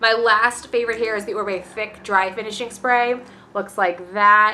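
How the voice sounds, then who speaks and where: A woman's fairly high voice, bright and sharp in tone, with monotone, flat intonation. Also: moderate pace. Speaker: beauty vlogger. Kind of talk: casual product review vlog.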